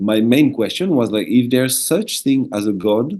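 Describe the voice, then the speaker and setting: Speaking in a French accent, a man uses a dark, mellow tone and lively intonation at a fairly slow pace. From southern France, French Alps. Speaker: shaman, former monk. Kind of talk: interview.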